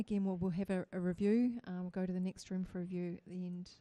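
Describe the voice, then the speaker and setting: With a New Zealand accent, a woman speaks very fast. Her tone is dark and mellow. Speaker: judging panel chair. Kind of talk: competition judging moderation. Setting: judging room, livestream.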